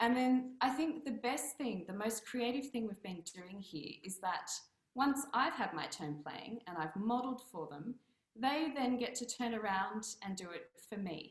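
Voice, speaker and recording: A woman with an Australian accent, a fairly high pitch, lively intonation and a fairly slow pace. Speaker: piano teacher. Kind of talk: casual presentation on video meet-up.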